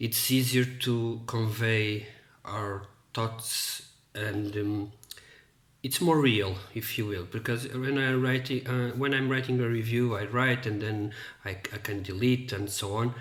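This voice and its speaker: In a room with audible echo, a man at a medium pitch speaks at a fairly slow pace. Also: fairly even intonation. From Portugal. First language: Portuguese. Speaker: book reviewer. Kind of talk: casual monologue to camera. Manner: halting, many fillers and repetitions.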